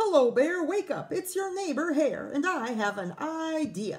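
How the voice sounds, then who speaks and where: A put-on character voice from a woman, extremely high in pitch, at a moderate pace. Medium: read story. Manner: sly, persuasive.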